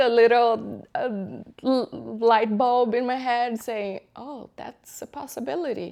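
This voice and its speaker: A woman with a strong Brazilian accent speaks at a very slow pace and a high pitch. Her loudness swings widely, with ordinary pitch variation. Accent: thick Brazilian Portuguese. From Brazil, São Paulo. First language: Portuguese. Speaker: tech project manager. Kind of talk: interview.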